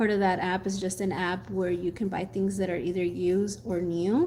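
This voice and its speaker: A woman with a Mexican accent, a dark, mellow tone and a fairly quick pace. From Mexico. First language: Spanish. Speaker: gardening youtuber. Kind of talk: casual chat. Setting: live stream.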